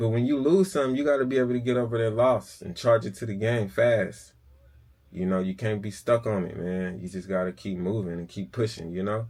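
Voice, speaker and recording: A man with a fairly low voice talks at a fairly quick pace with ordinary pitch variation, on a very clean recording with a silent background. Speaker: car flipper, auction vlogger. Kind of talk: casual vlog monologue. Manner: casual, halting with fillers.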